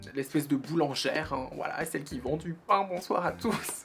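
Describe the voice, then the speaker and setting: Over noticeable background noise, a woman with a fairly low pitch speaks with lively intonation. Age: 20s. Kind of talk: personal vlog talk. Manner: casual, halting with repetitions.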